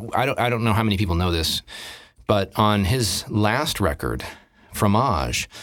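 A man with a fairly low pitch and vocal fry speaks at a fairly slow pace. His intonation is lively, and the recording is very clean with a silent background. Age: 50s. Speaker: drummer and voice actor. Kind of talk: casual chat.

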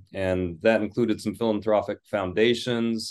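In a Midwestern US accent, a man with a fairly low pitch speaks fairly slowly with monotone, flat intonation over a quiet background. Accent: General American, Midwestern. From US Midwest (Michigan). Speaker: English professor and author. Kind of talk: interview.

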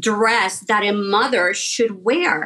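A woman is speaking. Her pace is very slow. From Puerto Rico. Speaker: fashion designer. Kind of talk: interview. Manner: hesitant, with many fillers.

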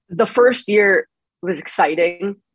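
A woman speaks in a New York accent. Her pitch is medium. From Long Island, New York. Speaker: congressional reporter. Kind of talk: casual interview chat. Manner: slight accent, not thick.

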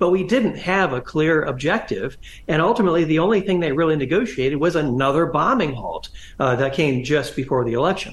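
Fairly quick speech with lively intonation comes in a US Midwestern accent. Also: man, fairly high pitch for a man. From Northwest Ohio, US Midwest. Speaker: history professor and author. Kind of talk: interview. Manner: halting, many fillers and restarts.

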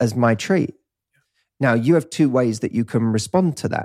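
A man speaks in a Cockney accent at a moderate pace. His pitch is medium, with ordinary variation. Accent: Cockney, London English. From east London, England. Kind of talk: casual interview chat.

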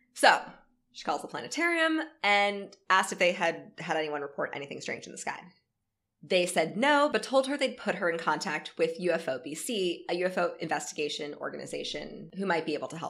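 With an American accent and a normal speaking voice, a woman talks at a fairly quick pace and a fairly low pitch. Her intonation is lively, and her loudness swings widely. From North Florida. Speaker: podcast co-host. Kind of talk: reading aloud; casual chat. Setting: in person at own home.

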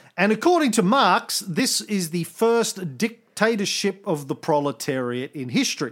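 Hardly pausing at all, a man speaks with a high pitch that swings very widely. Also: moderate pace. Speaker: podcast host. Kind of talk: casual chat. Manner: loud, animated.

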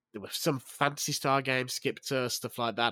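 With a British accent, a man speaks at a moderate pace and medium pitch in a dry, close sound with no echo. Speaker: video game journalist. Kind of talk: casual chat. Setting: remote call.

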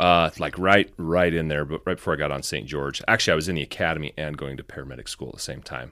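Very fast, nearly pause-free speech from a man with a very deep, low pitch, vocal fry, a bright, sharp tone and fairly even intonation. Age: 30s. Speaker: firefighter and photographer. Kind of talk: casual chat.

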